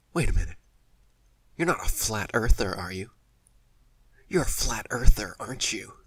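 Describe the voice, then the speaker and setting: A man's raspy, put-on character voice at a medium pitch, with very wide pitch swings, a moderate pace and long, frequent pauses. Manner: condescending, all-knowing.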